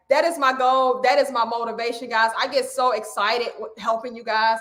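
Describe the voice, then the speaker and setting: A woman projects a raised voice with a bright, sharp tone. Her pitch swings very widely at a fairly quick pace. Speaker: weight loss coach. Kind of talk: live stream coaching talk. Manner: loud; animated.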